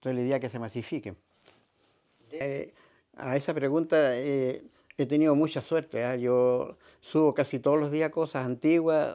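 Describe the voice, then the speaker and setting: Over a quiet background, a man with a dark, mellow tone and fairly high pitch talks at a moderate pace, with fairly even intonation and long, frequent pauses. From northern Chile, raised in Vicuña; northern Chile. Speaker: retired ambulance driver and heritage photo archivist. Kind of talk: interview. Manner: halting. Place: home room.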